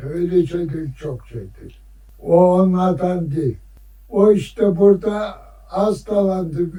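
The tone is dark and mellow, the pace very slow, the pitch variation ordinary, and the loudness swings widely. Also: man, high pitch for a man. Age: 80s+. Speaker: beekeeper and villager. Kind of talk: interview answer.

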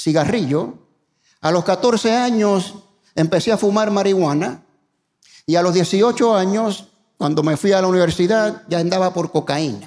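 At a fairly slow pace with long, frequent pauses, a man speaks at high pitch with ordinary pitch variation and very even loudness over a quiet background. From Puerto Rico. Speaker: pastor; guest pastor. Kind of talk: sermon. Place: church. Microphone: handheld.

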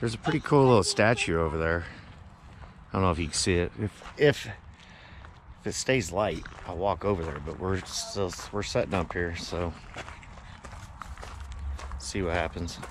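A man with a very deep, low pitch pauses long and often but uses lively intonation. The sound is dry with no echo, and background noise is noticeable. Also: moderate pace. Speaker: RV traveler vlogger. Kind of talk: casual vlog chat. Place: open country. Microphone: phone near.

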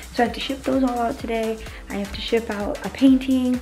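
Faint music plays behind a woman speaking at a moderate pace. Her pitch variation is ordinary. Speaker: vlogger. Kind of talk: casual vlog chat. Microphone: phone near.

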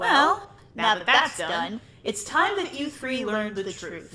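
A female-sounding, cartoonish character voice speaks at a fairly slow pace. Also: fairly high pitch for a woman. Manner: ominous, deliberate.

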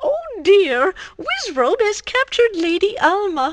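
A woman puts on a character voice at an extremely high pitch. She speaks slowly, with big pitch swings.

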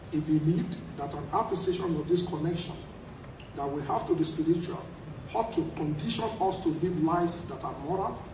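Noticeable background noise sits behind the man as he talks. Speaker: speaker at a lecture event. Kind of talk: formal speech. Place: hall. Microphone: podium.

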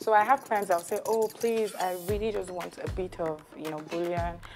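Clear music plays in the background. A woman speaks with a fairly low pitch and ordinary pitch variation. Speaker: guest. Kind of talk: cooking show conversation. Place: studio. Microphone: lapel.

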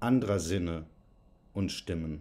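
This man's tone is dark and mellow. His pitch moves with ordinary variation. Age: 40s. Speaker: curator and writer. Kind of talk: reading aloud a poetic text. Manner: rhythmic, declamatory. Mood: serious, reflective. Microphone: phone near.

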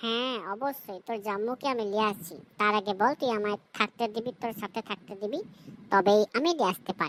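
Using a cartoonish character voice, a woman speaks at a medium pitch and a moderate pace, with a dry, close sound and no echo. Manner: whiny, pleading.

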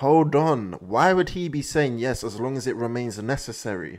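A man's dark, mellow tone with ordinary pitch variation. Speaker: anime reaction streamer. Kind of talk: casual reaction commentary. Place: home room. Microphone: studio mic.

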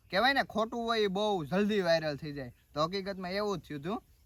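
A very clean, silent-background recording of a man, his pitch varying in an ordinary way. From Gujarat, Gir Somnath district, India. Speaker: vlogger. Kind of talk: casual Q&A vlog.

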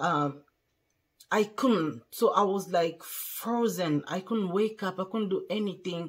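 Over a quiet background, a woman with a French accent talks at a fairly slow pace and medium pitch with ordinary pitch variation. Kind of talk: testimony. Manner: halting. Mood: earnest, recounting near-death. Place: home room. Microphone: phone near.

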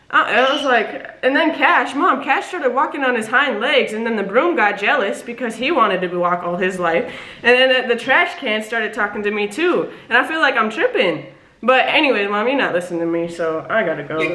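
A woman at a fairly quick pace, with audible room echo. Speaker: prank caller vlogger. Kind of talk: casual vlog chat. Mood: playful, suppressing laughter. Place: home room. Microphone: camera far.

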